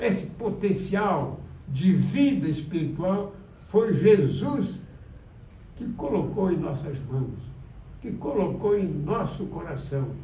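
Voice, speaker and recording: A man with a high pitch speaks at a very slow pace. Audible room echo and noticeable background noise fill the recording. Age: 80s+. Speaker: spiritist lecturer. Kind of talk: religious talk. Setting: spiritist center.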